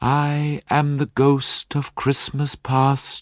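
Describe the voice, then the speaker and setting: A soft-spoken man in a put-on character voice, fairly high in pitch, monotone and flat, at a very slow pace. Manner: gentle, calm.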